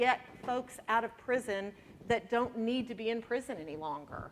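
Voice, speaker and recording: Speaking at a moderate pace with a Texan accent, a woman has a fairly high pitch and ordinary pitch variation. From Texas. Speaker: prosecutor. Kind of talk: panel talk.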